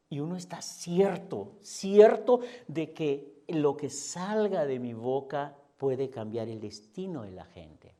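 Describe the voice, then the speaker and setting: At a very slow pace, a man with a fairly high pitch and a dark, mellow tone speaks with very wide pitch swings and big swings in loudness. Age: 60s. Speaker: pastor. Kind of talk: sermon.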